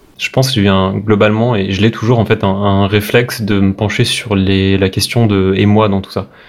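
A man's fairly low voice stays monotone and flat at a moderate pace. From Brittany, France (Brest). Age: 30s. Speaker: web developer. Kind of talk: casual interview. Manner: hesitant, many repetitions.

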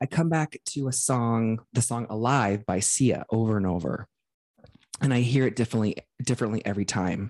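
With a quiet background, a man speaks in a normal speaking voice at medium pitch, moderate pace and ordinary pitch variation. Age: 40s. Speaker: podcast co-host. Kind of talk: reading aloud; casual chat.

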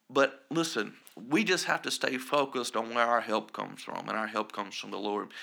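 With an American accent, a man speaks at a fairly quick pace in a medium pitch, his tone bright and sharp, with ordinary pitch variation and vocal fry. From US South, South Carolina. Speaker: pastor. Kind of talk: podcast interview with scripture teaching; reading scripture aloud.

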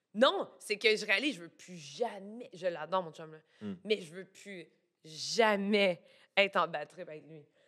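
A woman with a Quebec accent speaks at a fairly slow pace in a medium pitch. Her pitch variation is ordinary, but her loudness swings widely. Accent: Québécois French. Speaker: illustrator and plush designer. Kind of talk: casual chat.

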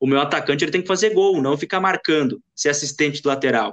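A man's unremarkable speaking voice, fairly high in pitch. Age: 20s. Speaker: sports journalist. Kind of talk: casual sports chat.

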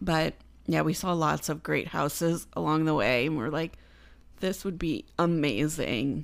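Against a very clean recording with a silent background, a woman with a very deep, low pitch and vocal fry talks at a fairly slow pace, her pitch varying in an ordinary way. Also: very even loudness. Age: 30s. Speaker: podcast co-host. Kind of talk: casual chat.

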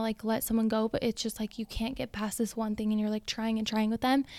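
The voice belongs to a woman with a fairly high pitch. The recording is very clean, with a silent background. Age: 20s. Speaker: salon owner, entrepreneur. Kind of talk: casual interview chat. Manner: loud, outgoing, animated.

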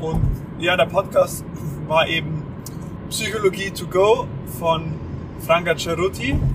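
Speech comes at a very slow pace with long, frequent pauses and fairly even intonation over noticeable background noise. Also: man, high pitch for a man. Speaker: podcast co-host. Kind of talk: casual chat. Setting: in a car on the motorway. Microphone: microphone mistake, poor audio quality.

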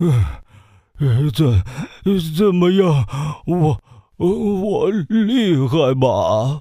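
Using a put-on character voice, a man speaks very slowly at a high pitch with long, frequent pauses. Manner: weak, boastful.

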